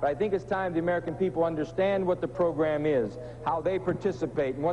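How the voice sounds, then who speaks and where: A man at a very fast pace, with light background noise. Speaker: talk show guest, politician. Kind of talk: interview answer. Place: studio. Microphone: lapel.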